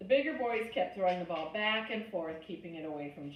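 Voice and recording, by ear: A text read aloud, natural voice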